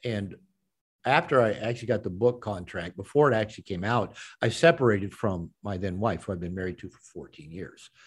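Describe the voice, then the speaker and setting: Recorded very cleanly against a silent background, a man talks at a fairly quick pace with a fairly low pitch, ordinary pitch variation and big swings in loudness. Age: 60s. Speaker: author and men's coach. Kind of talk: interview. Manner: halting, repeats words.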